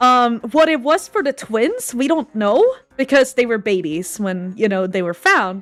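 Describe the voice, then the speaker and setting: A woman with a Swedish accent speaks at a fairly slow pace in a fairly high pitch. Her pitch swings very widely. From Sweden. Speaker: animator. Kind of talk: casual chat. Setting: livestream.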